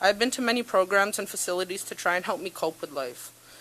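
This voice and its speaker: A woman in a Canadian accent speaks at medium pitch and a fairly quick pace, with ordinary pitch variation amid noticeable background noise. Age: 20s. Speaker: peer worker. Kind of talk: prepared testimony. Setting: parliamentary committee hearing. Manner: formal.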